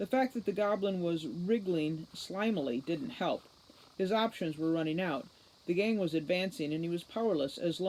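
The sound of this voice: With ordinary pitch variation, the delivery is an unforced reading voice.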